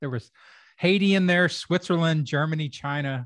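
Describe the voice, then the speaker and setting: With a normal speaking voice, a man of fairly high pitch talks at a moderate pace with ordinary pitch variation, the sound dry and close with no echo against a quiet background. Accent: American. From Kentucky, US. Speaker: podcast host, comedy writer and rhetorician. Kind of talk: casual interview chat.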